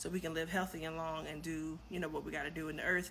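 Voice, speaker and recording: Fairly quick and bright, sharp in tone, a woman talks with vocal fry amid audible room echo. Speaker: vlogger. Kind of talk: casual vlog monologue. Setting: home kitchen at night.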